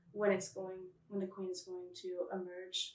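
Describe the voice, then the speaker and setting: A woman with medium pitch and an unremarkable speaking voice talks at a moderate pace. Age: 20s. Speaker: beekeeper and queen breeder. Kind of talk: interview.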